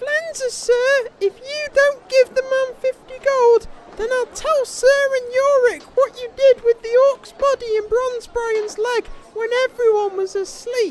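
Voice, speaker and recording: Doing a put-on character voice, a woman sounds squeaky at an extremely high pitch, with a dry, close sound and no echo. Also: fairly slow pace. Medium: audio drama. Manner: nervous, formal, deferential.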